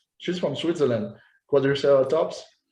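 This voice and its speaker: A man speaks with a French accent and ordinary pitch variation. Room echo is audible around his voice. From France. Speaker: posing coach. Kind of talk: interview. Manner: halting, repeats words.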